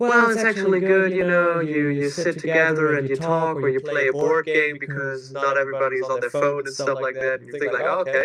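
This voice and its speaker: Speech comes at a fairly quick pace with hardly any pauses and ordinary pitch variation. Noticeable background noise is present. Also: man, fairly high pitch for a man. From Germany. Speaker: skater and DIY builder. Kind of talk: casual chat.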